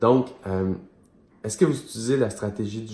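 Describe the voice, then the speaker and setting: Somewhat breathy and dark, mellow in tone, a man's fairly low-pitched voice carries ordinary pitch variation. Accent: Quebec. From Quebec. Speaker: business mentor for entrepreneurs. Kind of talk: video monologue / coaching talk. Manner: casual, many fillers.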